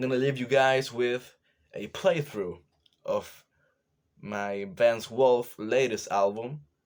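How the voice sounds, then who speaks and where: At a very slow pace, a man with a Chilean accent talks at a medium pitch. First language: Spanish. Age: 20s. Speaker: drummer. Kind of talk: casual talk to camera. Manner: halting.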